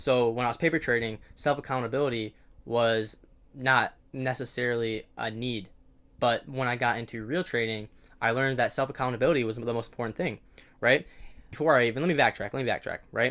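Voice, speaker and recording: An ordinary speaking voice from a man, medium in pitch, fairly quick, with fairly even intonation. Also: very clean recording, silent background. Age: 18 or 19. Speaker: day trader and video creator. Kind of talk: casual advice monologue to camera. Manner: conversational with many fillers and self-corrections.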